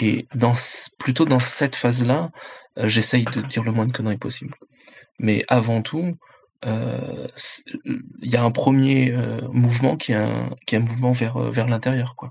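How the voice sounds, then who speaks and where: A man at a medium pitch, fairly slow, with fairly even intonation and long, frequent pauses. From France, Chinese immigrant parents. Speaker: independent role-playing game designer. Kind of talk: roundtable discussion.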